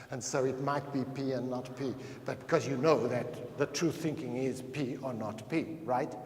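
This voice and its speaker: Noticeable background noise and audible room echo surround a man speaking at a moderate pace with fairly even intonation. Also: medium pitch for a man. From Portuguese, raised in Africa. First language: Portuguese. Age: 60s. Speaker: anthropologist, lecturer. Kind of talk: lecture.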